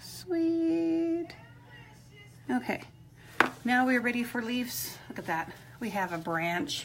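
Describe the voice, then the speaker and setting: At a very slow pace with long, frequent pauses, a woman speaks in a high pitch with very wide pitch swings over music in the background. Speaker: rock painting instructor. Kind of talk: live painting tutorial. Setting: live stream. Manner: mumbling, quieter than usual; casual, chatty.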